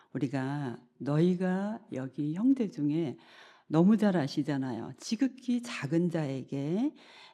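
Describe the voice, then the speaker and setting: Against a quiet background, someone talks at a very slow pace. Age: 60s. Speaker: professor, guest lay speaker. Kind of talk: sermon-style lecture in church. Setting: church service.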